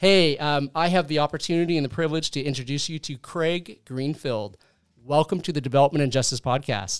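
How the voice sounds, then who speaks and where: With an American accent and an unremarkable speaking voice, a man of fairly high pitch talks at a fairly quick pace with ordinary pitch variation in a dry, close sound with no echo. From Southern California. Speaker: podcast host and graduate program director. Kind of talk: interview. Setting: studio.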